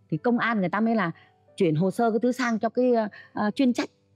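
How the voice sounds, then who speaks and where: Faint music sits in the background. Over it, a woman speaks at a fairly quick pace. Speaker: talk show guest. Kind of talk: interview answer. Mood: animated storytelling. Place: studio. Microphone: lapel.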